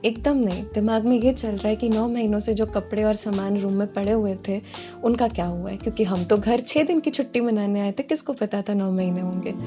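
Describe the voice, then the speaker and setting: Over music in the background, a woman speaks at a moderate pace with hardly any pauses and ordinary pitch variation. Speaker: student and cover singer. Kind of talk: vlog voice-over narration. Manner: casual, self-deprecating.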